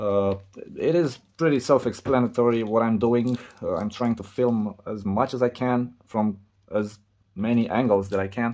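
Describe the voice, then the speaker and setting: Against a quiet background, a man with a Romanian accent speaks in a dark, mellow tone with fairly even intonation. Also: medium pitch for a man, moderate pace. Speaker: repair video creator. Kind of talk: tutorial. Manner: halting.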